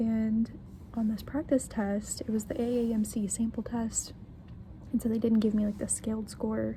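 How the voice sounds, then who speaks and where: A woman speaks quietly at a moderate pace. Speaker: premed student vlogger. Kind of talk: casual vlog. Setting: library.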